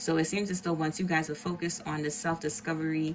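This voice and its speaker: A woman's fairly low voice at a fairly quick pace, with noticeable background noise. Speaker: tarot reader. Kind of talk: tarot reading monologue. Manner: casual, filler-heavy.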